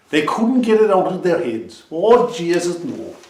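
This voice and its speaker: A man with an Irish accent speaks at a high pitch, his voice making very wide pitch swings. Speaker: storyteller. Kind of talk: traditional storytelling.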